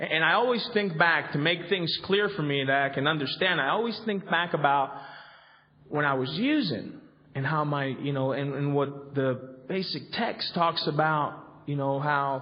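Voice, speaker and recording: A man with a Spanish accent and fairly high pitch, moderate pace and ordinary pitch variation, amid audible room echo and noticeable background noise. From Colombia. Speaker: recovery convention speaker. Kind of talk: recovery workshop talk. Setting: convention hall with audience. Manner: halting, many fillers and repetitions.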